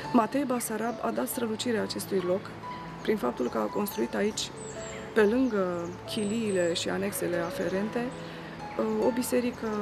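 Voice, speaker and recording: Over clear background music, a woman speaks at a moderate pace with long, frequent pauses. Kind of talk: interview answer. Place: street.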